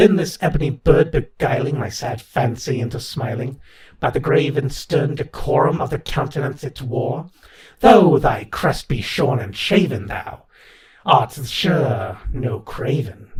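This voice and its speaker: A man puts on a character voice, fairly high in pitch and delivered at a fairly slow pace. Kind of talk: poetry reading.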